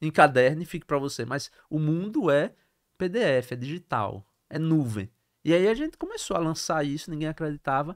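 Over a quiet background, a man speaks at a moderate pace, his fairly high voice carrying lively intonation. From Brazil, Sergipe (interior town, then Aracaju); Sergipe, Brazil. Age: 40s. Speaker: entrepreneur; podcast guest. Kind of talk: interview. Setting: studio. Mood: animated, laughing at times. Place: studio. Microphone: studio mic.

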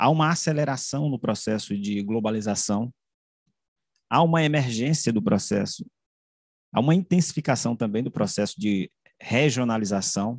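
A man speaks at a moderate pace with lively intonation and long, frequent pauses. The background is quiet and the sound is dry with no echo. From Caxias, Maranhão, Brazil; Maranhão, Brazil. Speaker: journalist and media researcher; journalist. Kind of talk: academic presentation. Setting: video call. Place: home room. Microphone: video call.

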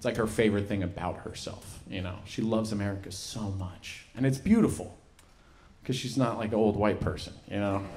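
Over light background noise, a man with a fairly low, somewhat breathy voice speaks at a fairly quick pace. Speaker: stand-up comedian. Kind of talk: stand-up comedy set with character impressions. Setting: stage with live audience. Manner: animated, profane storytelling with punchy act-outs. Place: stage. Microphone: handheld.

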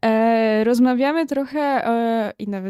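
A woman speaks with an Upper Silesian accent and a dark, mellow tone. Her intonation stays fairly even, and the sound is dry and close with no echo. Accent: Upper Silesian, audible. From Upper Silesia, Poland. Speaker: podcast host. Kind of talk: interview.

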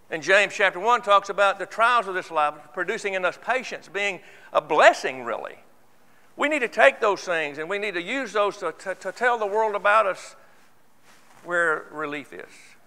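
The voice is raised and projected, bright and sharp in tone, with lively intonation. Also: man, high pitch for a man, moderate pace. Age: 70s. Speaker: church elder; church elder preaching. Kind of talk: sermon. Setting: church. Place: church. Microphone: lapel.

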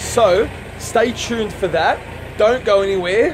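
Music is heard in the background. Over it, a man talks. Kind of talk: casual vlog chat. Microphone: phone near.

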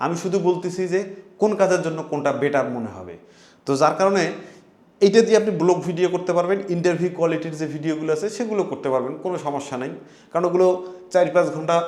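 A high-pitched man talks with ordinary pitch variation, with audible room echo around his voice. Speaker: tech reviewer. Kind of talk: tutorial.

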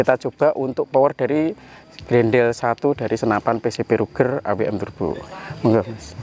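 The man's intonation is lively, and the sound is dry with no echo. Light background noise can be heard. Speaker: airgun shop host and reviewer. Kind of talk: sales pitch. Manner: upbeat, fluent promotional patter; formulaic, polite and religious greetings.

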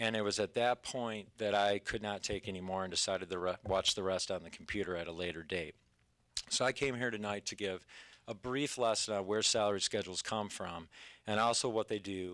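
Over a quiet background, a man with a bright, sharp tone and a fairly low pitch talks at a fairly quick pace with fairly even intonation. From US Midwest. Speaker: middle school teacher. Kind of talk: public comment speech. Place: meeting room. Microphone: podium.

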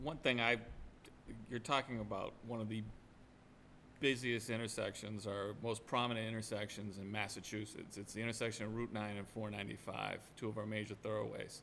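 The voice has a fairly bright tone and vocal fry, with little pitch movement. It moves at a fairly quick pace. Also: man, fairly low pitch for a man.

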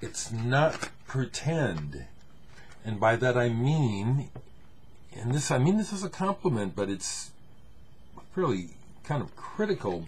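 The voice is relaxed and somewhat breathy, with very wide pitch swings and long, frequent pauses. Light background noise is present. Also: man, medium pitch for a man, fairly slow pace. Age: 60s. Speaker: music vlogger showing records. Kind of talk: casual solo video talk. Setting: home camera recording. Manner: relaxed, hesitant with many fillers. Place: home room. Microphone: webcam.

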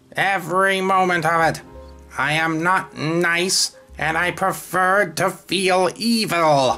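A put-on character voice at a middle pitch is heard over faint music in the background. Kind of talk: comic villain monologue. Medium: comedy sketch. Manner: grudging and bitter about niceness; pompous, sneering, theatrical.

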